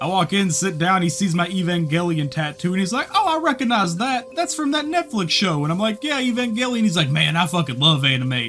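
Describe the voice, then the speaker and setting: Over noticeable background noise, a man with a Southern US accent speaks at a high pitch with very wide pitch swings. His pace is fairly quick, with hardly any pauses and very even loudness. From US South. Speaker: YouTuber. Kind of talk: casual monologue. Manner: rambling, casual.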